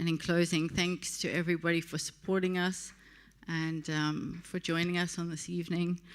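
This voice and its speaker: In a very clean recording with a silent background, a woman with a South African accent speaks at a moderate pace in a fairly low pitch, her intonation monotone and flat. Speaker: partnership director of a tech community. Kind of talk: closing speech at awards event.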